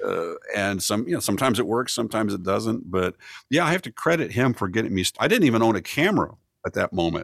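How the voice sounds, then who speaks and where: In a very clean recording with a silent background and a dry, close sound with no echo, a man uses an ordinary speaking voice at medium pitch with lively intonation. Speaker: photographer and song parody producer. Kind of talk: casual chat.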